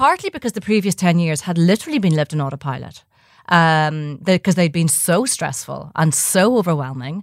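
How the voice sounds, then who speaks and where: A woman with a Dublin accent, fairly low in pitch and lively in intonation, at a fairly quick pace, dry and close with no echo, on a very clean recording with a silent background. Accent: Irish (Dublin). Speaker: journalist and midlife coach, podcast co-host. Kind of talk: casual chat.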